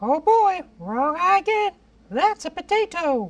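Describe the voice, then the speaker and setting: A cartoonish character voice at an extremely high pitch and a fairly slow pace. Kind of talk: mock weather report. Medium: puppet. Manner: flustered, silly.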